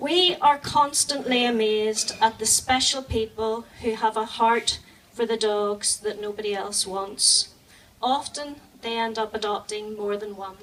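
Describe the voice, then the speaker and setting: A woman speaks with a Northern Irish accent. Her pace is fairly slow and her pitch variation ordinary. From Northern Ireland. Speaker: animal charity volunteer. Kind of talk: charity speech.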